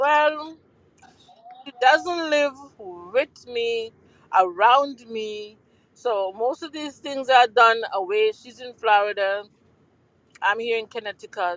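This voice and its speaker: Speaking very slowly with long, frequent pauses, a woman with a Jamaican accent has a fairly high pitch and lively intonation, recorded with a dry, close sound and no echo. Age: 60s. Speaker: mother of a guest. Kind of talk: casual chat. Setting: online audio room.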